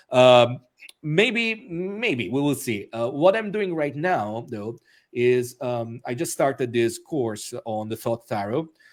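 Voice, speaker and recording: In an Italian accent, a man speaks at a very slow pace with lively intonation. The recording is very clean, with a silent background. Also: medium pitch for a man. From Italy, Rome. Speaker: author and magician. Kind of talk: interview. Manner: hesitant, many fillers.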